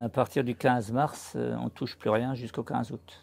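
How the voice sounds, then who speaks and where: Here a man speaks with a dark, mellow tone at a medium pitch. His pace is moderate. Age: 60s. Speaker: livestock farmer. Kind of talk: interview.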